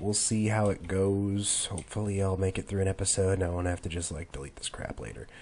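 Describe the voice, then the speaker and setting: A man's very deep, low voice, very fast and flat in a monotone, over noticeable background noise. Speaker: gamer. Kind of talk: let's play commentary. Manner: casual, rambling.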